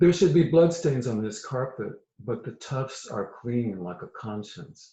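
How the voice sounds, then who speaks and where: A man with an American accent speaks very slowly, his somewhat breathy voice carrying lively intonation. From US South, Virginia. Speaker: poet. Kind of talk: poetry reading.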